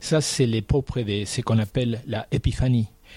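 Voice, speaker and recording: A man speaks at a moderate pace in a dark, mellow, somewhat breathy tone. The sound is dry and close, without echo. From Argentina. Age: 60s. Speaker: painter. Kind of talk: interview.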